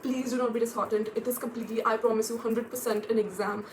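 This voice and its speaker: A woman's fairly high, monotone, flat voice over noticeable background noise. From India, Delhi NCR. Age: 20s. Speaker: student vlogger. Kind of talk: casual vlog.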